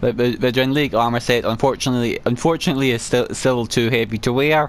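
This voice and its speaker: A man talks very fast at a medium pitch. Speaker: gaming let's play creator. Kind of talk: gameplay commentary with item descriptions read aloud. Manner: halting, repeated sounds on S and W.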